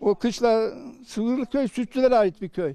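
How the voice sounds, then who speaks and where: At a moderate pace, a man speaks in a high pitch with a dark, mellow tone and ordinary pitch variation. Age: 80s+. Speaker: elderly villager, livestock farmer. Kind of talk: casual interview.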